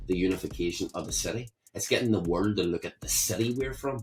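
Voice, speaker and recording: A man speaks at a fairly quick pace in a fairly low, somewhat breathy voice. His pitch varies in an ordinary way. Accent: Belfast. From Belfast, Northern Ireland (Shankill Road). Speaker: rapper. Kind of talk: interview.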